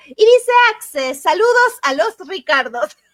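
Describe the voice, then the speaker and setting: A woman speaks at a fairly slow pace, her voice sounding dry and close with no echo. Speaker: book club host. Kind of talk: live stream chat.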